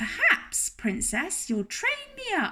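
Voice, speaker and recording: A woman does a put-on character voice, squeaky and extremely high-pitched. She speaks very slowly, with very wide pitch swings. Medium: read story.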